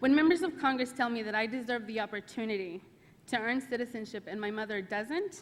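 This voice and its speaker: In a normal speaking voice, a woman talks at a fairly high pitch with ordinary pitch variation. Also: fairly quick pace. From US South, Arkansas (moved from Mexico at five). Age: 30s. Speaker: immigrant rights advocate. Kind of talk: congressional testimony. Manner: formal.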